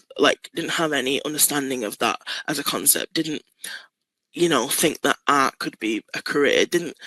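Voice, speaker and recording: A woman with a Manchester accent talks at a moderate pace. The recording is dry and close, with no echo. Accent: northern English (Manchester). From Manchester, northern England. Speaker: artist and poet. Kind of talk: interview. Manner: casual, with many fillers and repeats.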